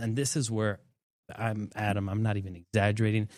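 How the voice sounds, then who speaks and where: A man speaks with an ordinary speaking voice at a fairly low pitch and a moderate pace. The recording is very clean, with a silent background. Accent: American. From southwest Florida, Bonita Springs. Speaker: general contractor, tiny home builder. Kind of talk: casual interview chat.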